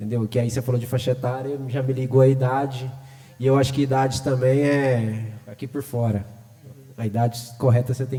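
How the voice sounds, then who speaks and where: At a moderate pace and medium pitch, a man speaks with a dark, mellow tone. His voice is somewhat breathy. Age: 40s. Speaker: hip hop artist. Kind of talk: panel discussion.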